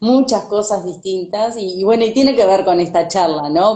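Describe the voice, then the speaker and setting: Speaking at a moderate pace, a woman has a dark, mellow tone and ordinary pitch variation. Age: 40s. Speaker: sustainability consultant and coach. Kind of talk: casual chat. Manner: halting.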